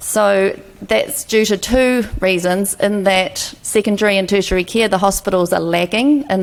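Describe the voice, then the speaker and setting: In a New Zealand accent, a woman speaks with very even loudness. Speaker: health policy expert, former fellow. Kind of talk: panel presentation. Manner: slow; hesitant, with fillers.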